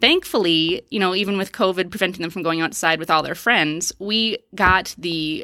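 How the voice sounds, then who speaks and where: The tone is bright and sharp, with ordinary pitch variation at a moderate pace. The sound is dry and close, with no echo. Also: woman. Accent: American. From Wisconsin, US Upper Midwest. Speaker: family physician. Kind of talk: casual interview.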